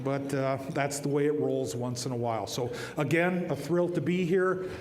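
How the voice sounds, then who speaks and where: Moderate-paced speech with an American accent and ordinary pitch variation, with audible room echo and noticeable background noise. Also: man, fairly high pitch for a man. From northern Minnesota, Iron Range (Ely). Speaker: TV meteorologist receiving award. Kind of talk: award acceptance speech. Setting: stage at awards dinner with audience. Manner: joking, folksy.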